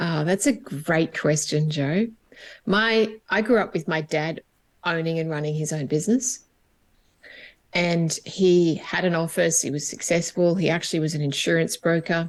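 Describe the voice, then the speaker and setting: Moderate pace with an Australian accent. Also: woman, fairly low pitch for a woman, ordinary pitch variation. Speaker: HR coach and business owner. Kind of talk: interview conversation.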